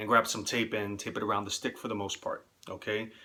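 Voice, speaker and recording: A man with a New York accent speaks at a very fast pace in a bright, sharp tone. The recording is very clean, with a silent background. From New York City, the Bronx. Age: 30s. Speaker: amateur stickball player. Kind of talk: tutorial. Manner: casual, with frequent filler words.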